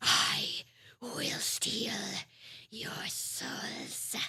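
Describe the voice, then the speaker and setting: A raspy, female-sounding voice performs a put-on character voice. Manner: menacing.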